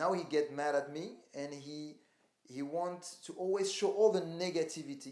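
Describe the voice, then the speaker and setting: He is a man with a non-native accent. His pitch is high. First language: not English. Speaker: calisthenics athlete. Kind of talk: interview. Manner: halting.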